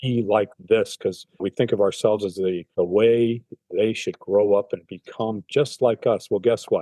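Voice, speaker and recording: The speaker has an ordinary speaking voice, moving at a fairly slow pace with fairly even intonation. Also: man, medium pitch for a man. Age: 60s. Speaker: cancer patient. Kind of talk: interview.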